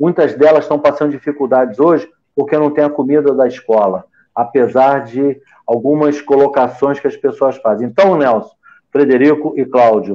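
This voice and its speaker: Using an unremarkable speaking voice, a man with a fairly high pitch talks at a moderate pace, his loudness very even and his pitch varying in an ordinary way. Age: 60s. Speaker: physician. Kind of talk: panel discussion.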